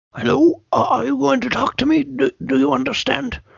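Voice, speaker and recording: Raspy and put-on, a character voice comes from a man. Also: moderate pace. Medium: actual play. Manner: hesitant, stammering.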